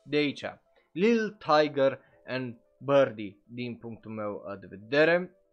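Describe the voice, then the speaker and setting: Music plays in the background while a man speaks very slowly at a fairly high pitch. His voice has very wide pitch swings and big swings in loudness. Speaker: anime streamer and podcaster. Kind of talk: live stream commentary. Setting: live stream on Twitch. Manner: casual, filler-heavy (uh).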